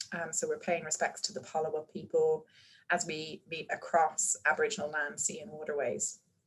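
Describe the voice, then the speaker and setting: At a moderate pace, a somewhat breathy woman with fairly low pitch talks in fairly even intonation. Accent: slight Irish. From Ireland. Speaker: medical researcher and panel moderator. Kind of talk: webinar panel hosting. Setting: video webinar.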